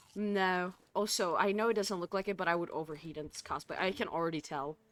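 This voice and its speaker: A woman with an American accent talks at a very fast pace, her medium pitch showing ordinary variation. The recording is very clean, with a silent background. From United States. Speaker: cosplayer and gaming streamer. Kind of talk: casual live-stream chat. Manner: slurring words.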